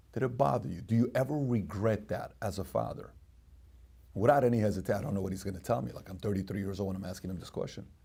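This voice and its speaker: A somewhat breathy voice with a dark, mellow tone, ordinary pitch variation and a very fast pace. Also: man. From Iran. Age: 40s. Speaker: podcast host. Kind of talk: storytelling.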